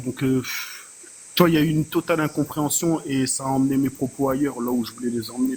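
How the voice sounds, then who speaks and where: He has a normal speaking voice at a medium pitch. The man's pace is fairly quick and his intonation fairly even. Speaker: panelist. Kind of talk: heated debate. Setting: online live panel.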